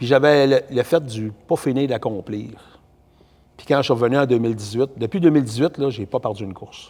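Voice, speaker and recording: Fairly quick speech with a Quebec accent, a dark, mellow tone, ordinary pitch variation and big swings in loudness. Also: man, medium pitch for a man. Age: 60s. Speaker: race driver and builder. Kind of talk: casual interview.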